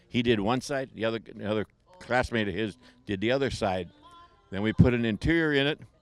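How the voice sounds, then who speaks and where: Music plays in the background as a man with an American accent speaks at a fairly quick pace, medium in pitch with ordinary pitch variation. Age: 80s+. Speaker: car owner at car show. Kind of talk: casual interview.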